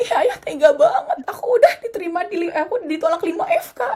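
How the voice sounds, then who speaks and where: With very wide pitch swings, a woman talks at a moderate pace in a dark, mellow tone. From Indonesia. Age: young. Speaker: PhD student and dentist. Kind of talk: interview testimony.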